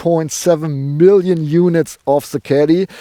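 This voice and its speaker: A man with a strong German accent talks at a fairly slow pace in a high voice with ordinary pitch variation. The sound is dry and close, with no echo. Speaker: car reviewer, show host. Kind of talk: car review presentation. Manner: halting, many fillers.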